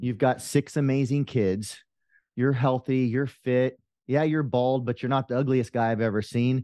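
A man with a dark, mellow tone and medium pitch speaks at a moderate pace with very even loudness and fairly even intonation, the sound dry and close with no echo over a quiet background. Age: 50s. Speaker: life coach, former police officer. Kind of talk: interview.

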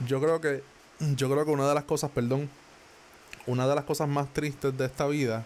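A man with a Puerto Rican accent speaks at a fairly high pitch and moderate pace, with monotone, flat intonation. His loudness stays very even, and he takes long, frequent pauses. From Puerto Rico. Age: 20s. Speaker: podcaster. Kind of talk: motivational monologue. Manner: casual, conversational.

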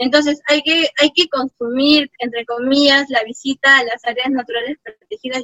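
A woman's high-pitched, bright, sharp voice, fairly slow and fairly even in intonation, with a dry, close sound and no echo. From Peru, Apurímac (Abancay, rural highlands). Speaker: park ranger and ecotourism engineer. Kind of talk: interview.

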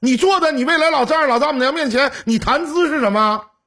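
A man's raised, projected voice, extremely high in pitch, bright and sharp in tone, with lively intonation. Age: 40s. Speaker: call-in relationship advice host. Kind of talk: call-in advice chat. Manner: animated.

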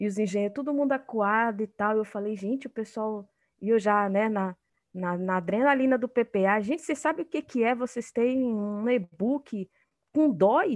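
Moderately paced speech from a woman, with a quiet background behind it. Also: ordinary pitch variation, dry, close sound with no echo. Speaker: university professor and researcher in engineering. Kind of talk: interview. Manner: hesitant, many fillers. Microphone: connection froze.

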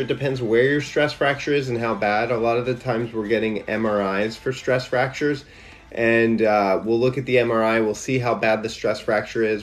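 A medium-pitched male voice at a fairly quick pace, fairly even intonation, over noticeable background noise. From Louisiana. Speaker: orthopedic surgeon. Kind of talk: live Q&A.

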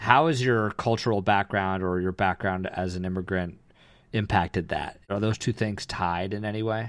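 A man's plain, everyday voice at a moderate pace, fairly low in pitch, with fairly even intonation. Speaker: podcast co-host. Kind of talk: casual conversation.

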